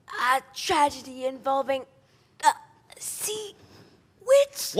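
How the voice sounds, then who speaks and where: In a put-on character voice, a female-sounding speaker talks fairly slowly at a high pitch. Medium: stage play.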